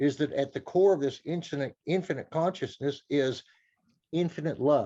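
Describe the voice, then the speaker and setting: A man talks at a moderate pace in a fairly high voice with ordinary pitch variation. His tone is dark and mellow. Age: 70s. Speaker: audience member asking a question. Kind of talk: Q&A comment.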